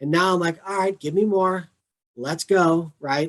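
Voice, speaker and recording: This is an unremarkable speaking voice with fairly even intonation. It moves at a moderate pace. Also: man. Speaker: mindfulness educator. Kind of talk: casual chat.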